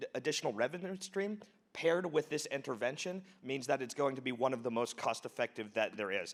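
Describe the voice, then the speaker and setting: A man in an ordinary speaking voice, fairly high in pitch, at a fairly quick pace with lively intonation. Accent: American. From United States. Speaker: charity founder. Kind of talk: conference talk.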